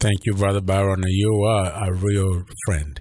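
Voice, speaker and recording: A man's very deep, low, somewhat breathy voice, monotone and flat, fairly slow, with a Ugandan accent, over a quiet background. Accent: Ugandan accent, noticeable. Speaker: pastor. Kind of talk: radio interview. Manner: hesitant with many fillers.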